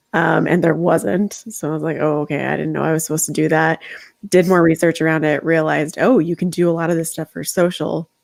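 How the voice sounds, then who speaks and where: A woman's very deep, low voice with vocal fry, very fast pace and fairly even intonation. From US Midwest, Chicago. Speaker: social media manager. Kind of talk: interview. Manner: loud.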